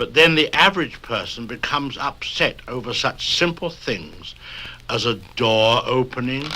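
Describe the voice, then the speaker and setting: A man's sinister tone at medium pitch and moderate pace, with lively intonation and noticeable background noise. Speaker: host introducing stories. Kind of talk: spoken-word record introduction for children. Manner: droll, mock-sinister.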